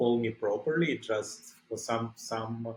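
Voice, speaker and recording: The speaker has a Russian accent. The intonation is lively. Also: man. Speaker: ICU doctor. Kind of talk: interview. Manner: halting.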